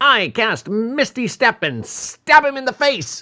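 A man shouting in a put-on character voice of extremely high pitch, fairly slow pace, very clean recording with a silent background. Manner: excited shout.

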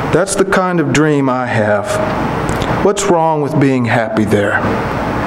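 Over noticeable background noise, a man with a fairly high pitch speaks at a very slow pace with hardly any pauses and very wide pitch swings. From Kentucky. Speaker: poet. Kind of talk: poetry reading. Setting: stage with audience. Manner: measured, unhurried, warmly conversational between poems; wry, gently humorous delivery with chuckles, dropping into a storyteller's cadence. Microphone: podium.

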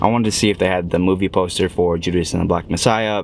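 Over light background noise, a man talks at a very fast pace. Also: dry sound with no echo. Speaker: actor vlogger. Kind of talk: casual vlog chat. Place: car. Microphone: phone near.

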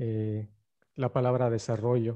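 Against a quiet background, a man with a dark, mellow tone speaks at a fairly slow pace. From Campeche, Mexico. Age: 30s. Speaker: journalist and filmmaker; journalist presenter. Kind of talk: lecture. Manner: hesitant with frequent fillers.

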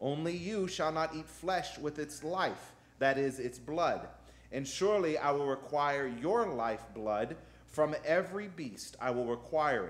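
His intonation is lively throughout. The man keeps a fairly slow pace. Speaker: pastor. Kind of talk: sermon scripture reading. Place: church. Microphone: podium.

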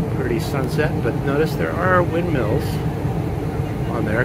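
Loud noise fills the background. A man talks, and the sound is dry with no echo. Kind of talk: casual vlog chat. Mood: relaxed, anecdotal. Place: boat. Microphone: phone near.

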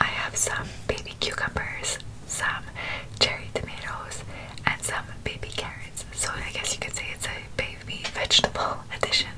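Whispering at a moderate pace, a woman speaks. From Montreal, Quebec. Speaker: ASMR mukbang creator. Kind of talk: ASMR eating show talk to camera. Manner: whispered.

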